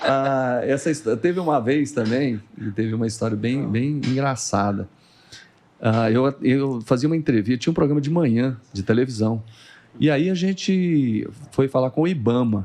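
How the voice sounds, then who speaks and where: This man's pitch is medium, and his pitch variation is ordinary. He keeps a moderate speed. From Brazil, Goiás (Morrinhos). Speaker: TV journalist and news anchor. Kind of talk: casual podcast interview, storytelling. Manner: animated.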